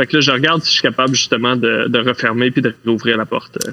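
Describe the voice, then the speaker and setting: A man with a Quebec accent and fairly even intonation, noticeable background noise behind him. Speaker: role-playing game player. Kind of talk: tabletop role-play.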